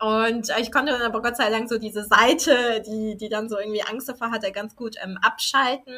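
Speaking at a moderate pace with hardly any pauses, a woman uses a bright, sharp tone at a fairly high pitch with fairly even intonation. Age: 20s. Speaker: podcast guest, life coach trainee. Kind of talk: casual interview conversation. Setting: sitting together in person.

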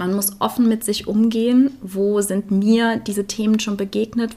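This woman's pitch is medium and her pace moderate. Her intonation is monotone and flat. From Germany, Eifel region. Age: 20s. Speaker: volunteer hospice companion and theologian. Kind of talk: interview. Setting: at her home.

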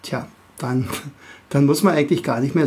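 With a slight Berlin accent, a man speaks in a fairly high, somewhat breathy voice with ordinary pitch variation. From Berlin area, Germany. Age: 50s. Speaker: teacher and podcast host. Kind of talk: podcast monologue for kids. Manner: hesitant, many filler sounds.

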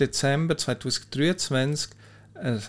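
At a medium pitch and with ordinary pitch variation, a man talks in an ordinary speaking voice. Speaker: mental coach, podcast host. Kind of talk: solo podcast explainer. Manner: conversational, informal.

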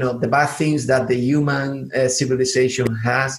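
A man with a southern Spanish accent. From southern Spain. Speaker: podcast host. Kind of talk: interview. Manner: halting.

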